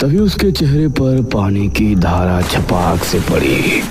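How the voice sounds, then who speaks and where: A man speaks in a cartoonish character voice, his pitch fairly low. He talks at a fairly slow pace over loud background noise. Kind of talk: horror narration.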